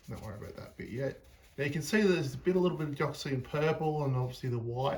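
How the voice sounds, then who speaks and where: Speaking at a very fast pace, a man has a fairly high, somewhat breathy voice. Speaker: painter. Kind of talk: tutorial. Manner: calm; halting.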